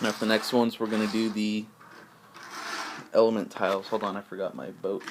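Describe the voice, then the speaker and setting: There is noticeable background noise. Over it, a man talks with a fairly low pitch. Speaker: hobbyist game maker. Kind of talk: tutorial. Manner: halting, many fillers; casual.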